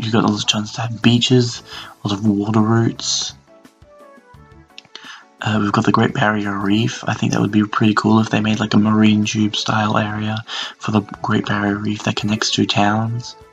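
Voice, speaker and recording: Over background music, a man whispers with long, frequent pauses. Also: moderate pace. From Australia. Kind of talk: casual reaction video talk. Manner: whispered.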